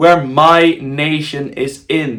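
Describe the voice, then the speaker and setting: A man's fairly high-pitched voice with a Dutch accent. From Netherlands. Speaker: football kit designer YouTuber. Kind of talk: casual video commentary. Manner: casual, with fillers and restarts.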